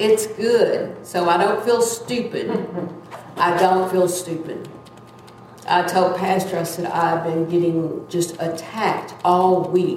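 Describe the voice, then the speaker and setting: Background noise is noticeable as a woman speaks very slowly. Her pitch is medium and her intonation fairly even. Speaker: church member giving testimony. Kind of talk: testimony. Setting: church. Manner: loud; halting.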